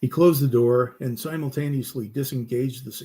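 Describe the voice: The voice does plain reading aloud.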